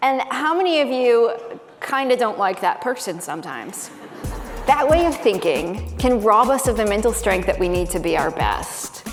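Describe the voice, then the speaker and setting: Music in the background behind a woman talking at a moderate pace. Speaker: psychotherapist and keynote speaker. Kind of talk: keynote speech.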